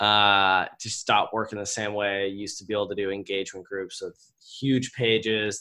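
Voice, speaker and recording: A man's bright, sharp voice in a monotone, flat delivery with hardly any pauses, on a very clean recording with a silent background. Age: 20s. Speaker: entrepreneur and business coach. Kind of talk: interview.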